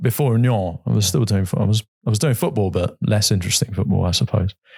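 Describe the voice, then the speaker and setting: A man with a southern English accent speaks very fast in a somewhat breathy, fairly low voice with lively intonation. His loudness stays very even, and the sound is dry and close with no echo. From England, Brighton. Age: 40s. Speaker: football club chairman. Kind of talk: podcast interview. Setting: studio.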